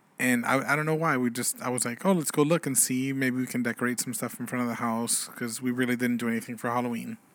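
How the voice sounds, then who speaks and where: A man with a medium-pitched voice speaks in an unremarkable speaking voice with fairly even intonation. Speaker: podcast co-host. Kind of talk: casual chat. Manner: playful, bantering.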